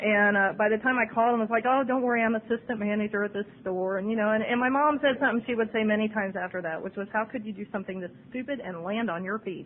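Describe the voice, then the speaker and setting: The speaker talks at a very fast pace with a Midwestern American accent. The intonation stays fairly even. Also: woman, fairly high pitch for a woman. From Ohio, USA. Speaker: recovering alcoholic. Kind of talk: AA speaker talk. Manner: humorous.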